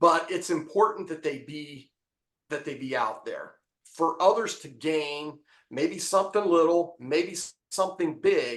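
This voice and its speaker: An American-accented man speaks in a high pitch at a fairly slow pace. His pitch varies in an ordinary way, while his loudness swings widely. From Appalachia, eastern Ohio. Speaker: memoir author. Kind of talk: podcast interview. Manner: halting.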